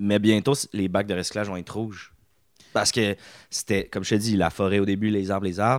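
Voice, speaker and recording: A man with a Quebec accent speaks at a moderate pace and a fairly low pitch in an animated tone, the sound dry and close with no echo. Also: very clean recording, silent background. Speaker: comedian. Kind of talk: casual chat.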